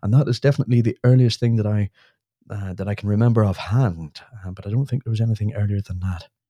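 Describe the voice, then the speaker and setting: A man speaks very fast in a Northern Irish accent, his dark, mellow tone somewhat breathy, with ordinary pitch variation and a dry, close sound with no echo on a very clean recording with a silent background. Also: fairly low pitch for a man. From Northern Ireland. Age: 30s. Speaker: UFO society chairperson. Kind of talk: casual chat.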